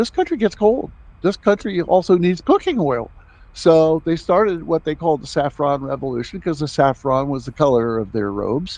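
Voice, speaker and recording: A man's voice with lively intonation. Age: 70s. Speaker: foundation founder and humanitarian. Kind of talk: interview. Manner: halting.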